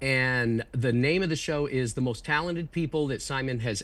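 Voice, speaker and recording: A man with a normal speaking voice, medium pitch, ordinary pitch variation and a moderate pace against a quiet background. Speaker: ventriloquist and comedian. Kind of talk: interview answer. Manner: casual, chatty.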